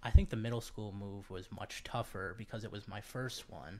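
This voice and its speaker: An ordinary speaking voice from a man with an American accent, at a moderate pace. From New England (Connecticut, Virginia, Massachusetts). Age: 20s. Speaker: college student. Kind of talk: interview podcast.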